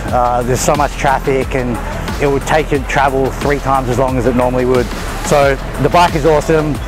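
Over clear music in the background, the speech moves at a moderate pace with fairly even intonation and a dry sound with no echo. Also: man. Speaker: fitness vlogger. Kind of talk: casual vlog chat. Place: street.

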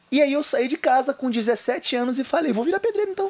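A man talks in an extremely high voice with very wide pitch swings. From Rio de Janeiro state, Região dos Lagos; Rio de Janeiro state, Brazil. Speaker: bodybuilder and YouTuber; podcast guest. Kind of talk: casual chat. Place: studio. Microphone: studio mic.

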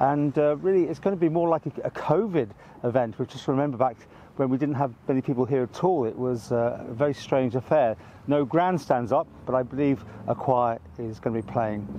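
Over light background noise, a man speaks at a fairly quick pace in a dry sound with no echo. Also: ordinary pitch variation. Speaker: local TV reporter. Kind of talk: informal on-location news commentary. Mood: calm, respectful. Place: open country.

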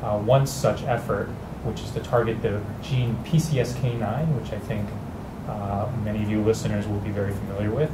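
Loud background noise surrounds a man who speaks fairly quickly. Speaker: panelist. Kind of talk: interview answer. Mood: calm, engaged. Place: studio. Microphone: lapel.

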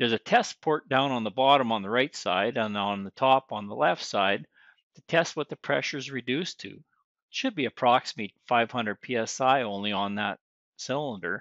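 A man at a moderate pace, with ordinary pitch variation and big swings in loudness, in a dry sound with no echo and a quiet background. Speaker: service school instructor. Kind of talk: tutorial. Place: farm machine. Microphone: phone near.

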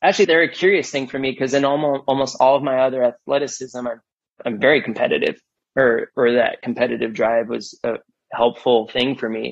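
A man's medium-pitched voice at a fairly quick pace, an ordinary speaking voice with ordinary pitch variation. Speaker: business executive. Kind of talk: interview.

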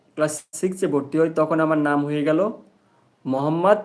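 Fairly high pitch and ordinary pitch variation from a man with an ordinary speaking voice. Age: 20s. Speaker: YouTuber and delivery worker. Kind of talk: casual live stream chat with viewers.

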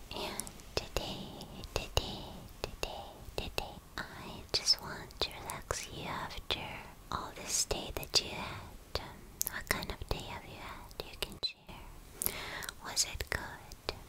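Whispering at a very slow pace, a woman leaves long, frequent pauses as her loudness swings widely. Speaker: ASMR creator. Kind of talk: ASMR girlfriend role play. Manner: soft-spoken, slow, repetitive. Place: home room. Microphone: studio mic.

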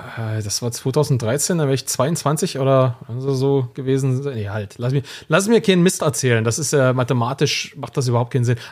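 Here a man uses a normal speaking voice at medium pitch, moving at a moderate pace with ordinary pitch variation. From eastern Germany. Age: 30s. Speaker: founder and author. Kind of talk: interview.

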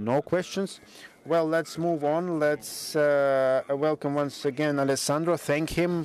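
A man speaks at a fairly slow pace. His fairly high voice has a monotone, flat intonation. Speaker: conference moderator and physician. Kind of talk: conference opening speech. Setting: stage with audience.

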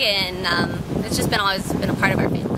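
Loud background noise surrounds a dry sound with no echo. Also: woman. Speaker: trail runner. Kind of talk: interview answer. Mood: cheerful, relaxed. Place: garden.

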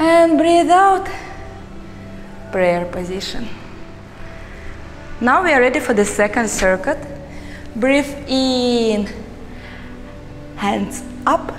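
Against faint music in the background, a woman with a high pitch speaks at a very slow pace, with very wide pitch swings and long, frequent pauses. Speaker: yoga instructor. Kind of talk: guided yoga session instruction. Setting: underwater aquarium. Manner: slow, measured, with pauses. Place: hall.

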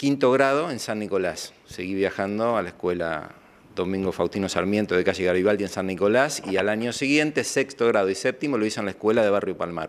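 Over light background noise, a man speaks at a fairly low pitch with lively intonation. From Argentina, Villa Constitución area (Santa Fe); Santa Fe, Argentina. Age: 50s. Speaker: former news anchor. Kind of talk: interview. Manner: hesitant with filler sounds. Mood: calm, nostalgic recollection. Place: studio. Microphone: handheld.

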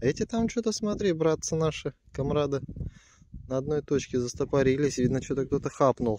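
A dark, mellow tone carries lively intonation at a moderate pace. The sound is dry with no echo, though noticeable background noise is present. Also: man, fairly high pitch for a man. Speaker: metal detecting vlogger. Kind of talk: casual vlog commentary. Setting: outdoors in a field. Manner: animated. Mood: pleased, excited. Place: open country.

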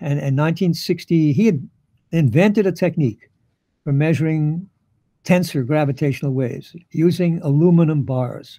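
In a New York accent, a man speaks at a moderate pace with a fairly high pitch and a dark, mellow tone. His pitch varies in an ordinary way against a quiet background. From New York City. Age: 80s+. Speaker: physicist, Nobel laureate. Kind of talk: interview answer. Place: home room. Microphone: headset.

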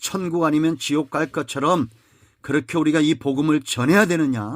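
A man with a plain, everyday voice, fairly high pitch and ordinary pitch variation, in a very clean recording with a silent background and a dry, close sound with no echo. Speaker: pastor. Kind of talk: sermon.

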